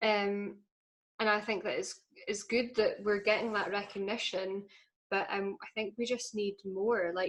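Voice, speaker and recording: Speaking at a fairly slow pace, a woman with a northeastern Scottish accent keeps a medium pitch and a monotone, flat intonation. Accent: Scottish, north-east (Doric). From Scotland, Aberdeenshire. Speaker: folk singer and language activist. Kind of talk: podcast interview.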